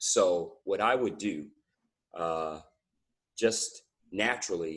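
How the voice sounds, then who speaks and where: A man is speaking. He has an American accent. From US Midwest, Nebraska. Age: 50s. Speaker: strength coach and inventor. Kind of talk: podcast interview. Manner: casual, many fillers and repeats.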